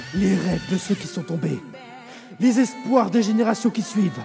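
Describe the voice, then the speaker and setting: A cartoonish character voice at middle pitch is heard over clear music in the background. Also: moderate pace. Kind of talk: anime fandub.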